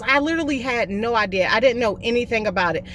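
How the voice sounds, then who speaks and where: A woman with a Southern US accent and a fairly high pitch. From US South, South Carolina (Columbia). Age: 30s. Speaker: vlogger in addiction recovery. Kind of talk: personal testimony.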